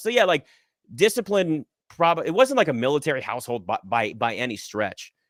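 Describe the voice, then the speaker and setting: A man talks loudly. The recording is very clean, with a silent background. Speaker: sports media host. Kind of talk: interview conversation.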